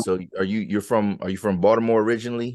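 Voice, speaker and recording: A man with a plain, everyday voice, an American accent, a fairly low pitch and fairly even intonation, over a quiet background. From Pennsylvania, 717 area. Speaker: podcast host. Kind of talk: casual interview.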